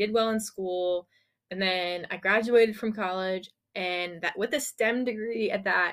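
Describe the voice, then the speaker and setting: On a very clean recording with a silent background, an unremarkable speaking voice moves at a moderate pace with fairly even intonation. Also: woman. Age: 20s. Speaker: podcast co-host and YouTube creator. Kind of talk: casual chat. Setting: temporary recording setup, audio and video.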